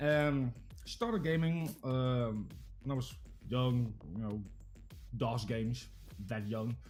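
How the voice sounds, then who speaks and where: Music plays in the background as a man speaks with a Dutch accent. His pitch is medium, with ordinary variation. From Netherlands. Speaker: variety game streamer. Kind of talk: casual chat.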